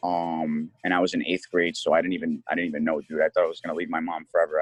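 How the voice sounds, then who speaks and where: A man with an American accent speaks in a dry, close sound with no echo. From Connecticut, US. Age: 20s. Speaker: ESL teacher. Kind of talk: casual interview. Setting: podcast recording.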